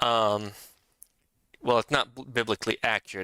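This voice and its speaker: A man's fairly low, bright, sharp voice with vocal fry at a moderate pace, dry and close with no echo. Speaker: vtuber streamer. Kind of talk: casual live stream chat. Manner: hesitant, many fillers; soft in this room.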